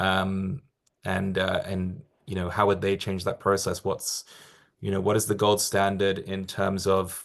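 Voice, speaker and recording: A man with an English accent speaks at a fairly low pitch. He keeps a moderate pace against a quiet background. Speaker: accreditation program staff presenter. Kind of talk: webinar Q&A. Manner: halting, many fillers and repetitions.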